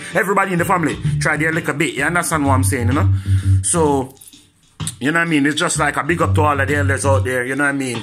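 Clear music plays in the background as a man speaks at a very fast pace. His fairly high pitch makes very wide swings. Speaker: vlogger. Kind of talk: casual talk to camera. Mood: warm, respectful. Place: home room. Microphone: phone near.

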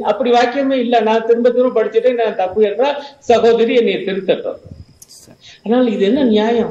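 A man at an extremely high pitch, with audible room echo. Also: very even loudness. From Tamil Nadu, India. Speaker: professor and Marxist political commentator; guest, professor. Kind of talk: televised panel debate. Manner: animated, argumentative. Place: home room. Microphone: earbuds.

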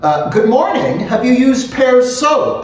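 A man's put-on character voice, extremely high-pitched with big pitch swings, at a slow pace amid strong room echo.

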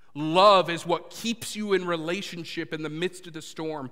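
A man's bright, sharp voice, high for a man, with ordinary pitch variation, at a moderate pace over a quiet background. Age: 30s. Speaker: pastor. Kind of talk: sermon. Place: church.

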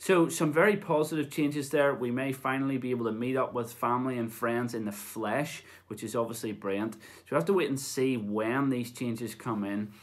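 A man speaks at a moderate pace with a medium pitch. His intonation stays fairly even.

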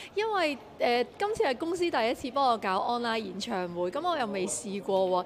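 The voice makes very wide pitch swings over light background noise. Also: woman. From Hong Kong. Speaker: singer. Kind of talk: media interview. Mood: friendly, encouraging. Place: hall. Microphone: handheld.

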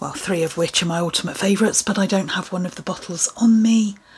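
Speaking with an English accent, a woman talks at a fairly quick pace. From England. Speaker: beauty vlogger; lifestyle vlogger. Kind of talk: casual product review. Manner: chatty, casual. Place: home room. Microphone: phone near.

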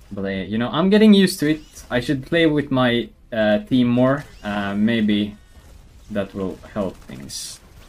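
A man speaks with a Swedish accent at a fairly slow pace. His medium pitch moves in very wide swings. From Sweden. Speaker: gaming streamer. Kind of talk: casual gameplay commentary. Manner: casual, animated.

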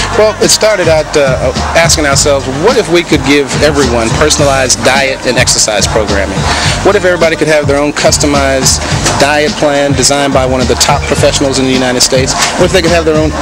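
Loud music plays in the background. Over it, a man speaks at a very fast pace. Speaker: interviewee. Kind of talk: interview answer. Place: gym. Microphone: handheld.

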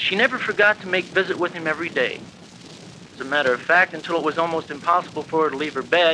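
Fairly quick male speech amid noticeable background noise. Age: 20s. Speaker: university student. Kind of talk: speech class tribute narration. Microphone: old recording.

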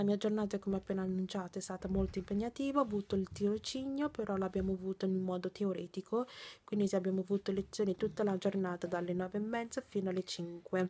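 A woman talks at a very fast pace in a dark, mellow, somewhat breathy tone. Her intonation stays fairly even. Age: 20s. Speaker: vlogger and nursing student; vlogger. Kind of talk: casual vlog. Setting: in her bedroom. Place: home room. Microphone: phone near.

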